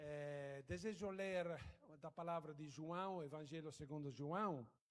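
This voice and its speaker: A man speaks very slowly, with room echo clearly audible. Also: fairly high pitch for a man, ordinary pitch variation. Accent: Italian. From Italy. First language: Italian (speaking Portuguese). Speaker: guest preacher. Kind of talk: sermon. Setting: church. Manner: halting.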